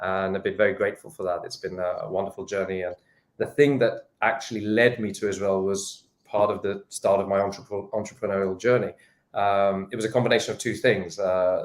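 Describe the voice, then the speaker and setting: Recorded very cleanly against a silent background, a man with a fairly low pitch speaks at a fairly quick pace. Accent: British. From England, London. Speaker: sports industry entrepreneur and investor. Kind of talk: interview.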